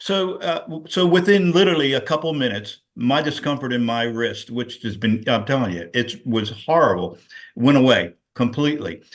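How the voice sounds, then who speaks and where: Very wide pitch swings at a moderate pace. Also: man, medium pitch for a man. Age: 70s. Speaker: guest sharing product testimony, handyman business owner. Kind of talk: testimony. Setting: video call. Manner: animated.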